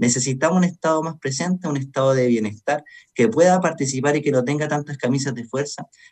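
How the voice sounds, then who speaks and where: The man's voice is fairly high and somewhat breathy, with ordinary pitch variation. He talks at a very fast pace. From Chile, O'Higgins region. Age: 30s. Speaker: lawyer and political candidate. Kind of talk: radio interview.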